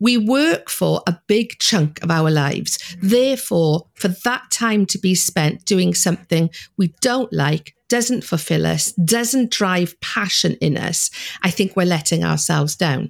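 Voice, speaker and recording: A woman with a Welsh accent, fairly low pitch and lively intonation, fairly slow and very even in loudness, the sound dry and close with no echo. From Wales. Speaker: money mindset coach. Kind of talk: interview.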